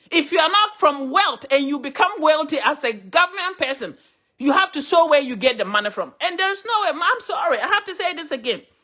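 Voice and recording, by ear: This woman talks at a high pitch with a bright, sharp tone and lively intonation. Her pace is fairly quick, with few pauses.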